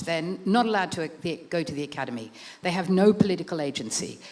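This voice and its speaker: A woman talks at a very fast pace with an Australian accent. Her medium-pitched voice has lively intonation. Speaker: author and art writer. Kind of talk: book talk with slides.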